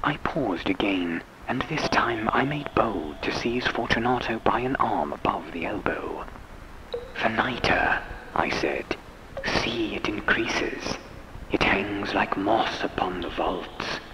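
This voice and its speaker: Whispering from a man at a fairly slow pace, over noticeable background noise. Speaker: professional voice actor and sound engineer. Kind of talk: vintage radio-drama style audiobook narration of a horror story.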